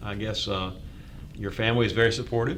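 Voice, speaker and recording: A man's medium-pitched voice in a North Carolina accent, with ordinary pitch variation, audible room echo and noticeable background noise. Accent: US Southern (North Carolina). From eastern North Carolina. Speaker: TV talk show host. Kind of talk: interview.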